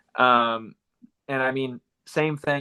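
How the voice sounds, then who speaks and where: A man talks with a Southern US accent. His medium pitch holds a fairly even intonation. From Florida. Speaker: distance runner and running coach. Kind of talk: casual interview chat.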